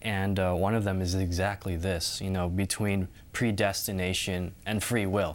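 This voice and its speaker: A man talks in a very deep, low pitch with a Californian accent and hardly any pauses. His intonation is monotone and flat, and his loudness stays very even. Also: moderate pace. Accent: Californian American. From Southern California. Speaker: student. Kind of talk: Bible study discussion.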